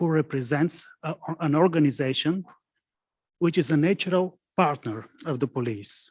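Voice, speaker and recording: Against a quiet background, a man with a non-native accent speaks at a fairly slow pace, his fairly high pitch carrying lively intonation in a dry, close sound with no echo. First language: not English. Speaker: prosecutor. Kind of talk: conference presentation. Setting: conference with interpreters and online participants. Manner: halting.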